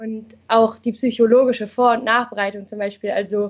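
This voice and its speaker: With a plain, everyday voice, a woman talks at a moderate pace and a fairly high pitch, her intonation fairly even. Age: 20s. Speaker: sociology and psychology student. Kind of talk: interview. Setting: video call.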